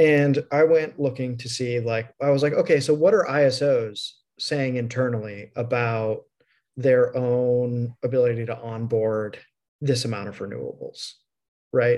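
With a normal speaking voice, a man talks at a fairly slow pace in a medium pitch with fairly even intonation. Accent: American. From US Midwest. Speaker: podcast host. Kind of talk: casual interview chat.

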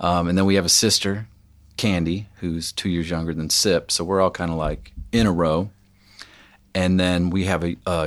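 In a very clean recording with a silent background, a man with a very deep, low pitch speaks at a moderate pace in a flat monotone. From Tennessee, Franklin. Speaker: musician. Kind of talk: casual chat. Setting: studio.

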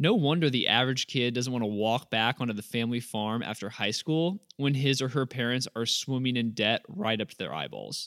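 In a plain, everyday voice, a man with an American accent speaks at medium pitch and a moderate pace with lively intonation. The sound is dry and close with no echo, in a very clean recording with a silent background. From suburbs of St. Louis, Missouri. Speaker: farmer and podcast host. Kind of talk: scripted narration; interview.

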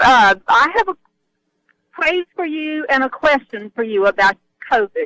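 With a raised, projected voice and a bright, sharp tone, a woman speaks at a high pitch and a fairly slow pace, making very wide pitch swings and long, frequent pauses in a dry, close sound with no echo. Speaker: caller.

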